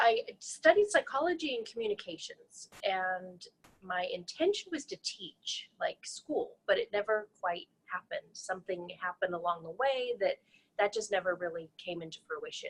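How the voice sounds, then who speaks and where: In an American accent, a woman talks at a moderate pace with big swings in loudness. The sound is dry and close, without echo. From Colorado, US. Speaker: NLP trainer. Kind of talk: interview.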